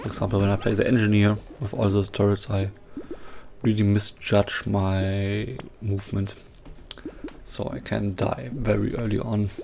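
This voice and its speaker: Over background music, a man with a fairly low voice speaks at a moderate pace with fairly even intonation, pausing long and often. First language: not English. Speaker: gaming youtuber. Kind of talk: gameplay commentary. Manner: halting, pauses mid-sentence.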